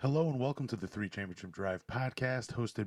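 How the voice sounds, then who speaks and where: In a very clean recording with a silent background, a man speaks quietly at a medium pitch, the sound dry and close with no echo. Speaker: sports podcast host. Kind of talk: solo podcast commentary. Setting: home.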